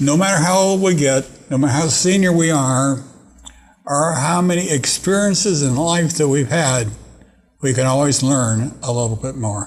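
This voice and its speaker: A man speaks at a moderate pace in a fairly high, somewhat breathy voice, with ordinary pitch variation and very even loudness. Audible room echo surrounds him. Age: 80s+. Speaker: TV talk show host. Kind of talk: interview. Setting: studio. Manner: halting.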